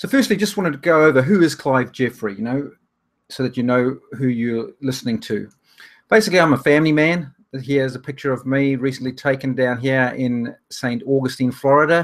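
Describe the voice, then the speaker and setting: A man's medium-pitched voice in a New Zealand accent, fairly quick, with ordinary pitch variation. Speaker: online business trainer. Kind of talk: webinar presentation. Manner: hesitant with fillers.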